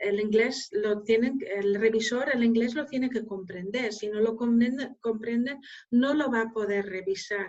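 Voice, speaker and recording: A woman speaks with a Dutch accent. Her pace is fairly slow. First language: Dutch (speaking Spanish). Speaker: scientific journal editor. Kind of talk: Q&A after a lecture. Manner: hesitant, many fillers.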